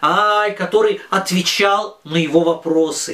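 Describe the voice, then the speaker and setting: Noticeable background noise is present. A man's voice comes through it. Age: 40s. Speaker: religious teacher for children. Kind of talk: lesson. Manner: halting, with many filler sounds.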